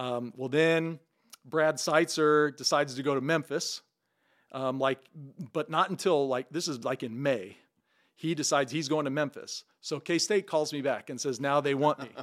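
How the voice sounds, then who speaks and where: A man with an American accent has an ordinary speaking voice, a fairly high pitch and ordinary pitch variation. He talks at a moderate pace on a very clean recording with a silent background. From southern Illinois, small farm town. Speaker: former baseball player and mixologist. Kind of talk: casual chat.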